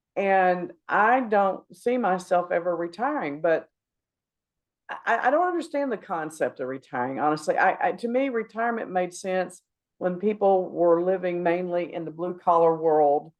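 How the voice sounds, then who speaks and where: A woman with an unremarkable speaking voice talks at a fairly slow pace, fairly low in pitch with ordinary pitch variation. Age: 60s. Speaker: podcast host and business owner. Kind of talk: casual chat. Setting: studio.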